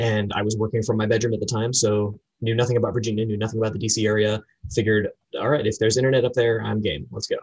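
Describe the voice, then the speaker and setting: With an American accent, a man talks very fast at a fairly low pitch, sounding somewhat breathy, his intonation monotone and flat. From Florida, US. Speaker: entrepreneur and photographer. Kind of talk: interview.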